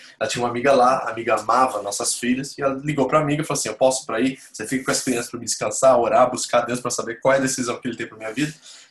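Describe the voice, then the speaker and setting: A man talks at a very fast pace with hardly any pauses, his medium-pitched voice monotone and flat over noticeable background noise. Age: 40s. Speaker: pastor. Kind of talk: church membership class with personal testimony. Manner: informal, conversational.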